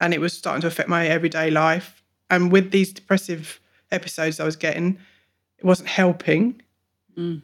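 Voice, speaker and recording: On a very clean recording with a silent background, a woman speaks at a fairly low pitch in a monotone, flat way, with long, frequent pauses. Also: fairly quick pace. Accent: English. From England. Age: 40s. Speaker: mental health client. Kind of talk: personal testimony.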